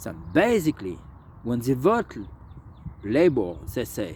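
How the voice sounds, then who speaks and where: This man speaks at a very slow pace. His voice carries vocal fry. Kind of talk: political commentary to camera. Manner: slow, hesitant.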